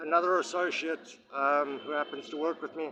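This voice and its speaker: A man talks with a fairly high pitch and ordinary pitch variation. Noticeable background noise can be heard. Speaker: vlogger. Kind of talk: personal video monologue. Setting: outdoors at magistrates court. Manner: halting, many fillers.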